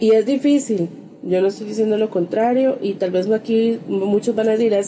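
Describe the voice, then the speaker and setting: A woman with a fairly high pitch talks at a fairly quick pace, using ordinary pitch variation, over noticeable background noise. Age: 30s. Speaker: podcast co-host. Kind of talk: casual chat.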